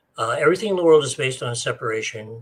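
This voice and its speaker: A man talks at a fairly quick pace, his voice somewhat breathy. His pitch rises and falls in an ordinary way. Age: 70s. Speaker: spiritual author. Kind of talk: interview. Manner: casual, hesitant with many fillers.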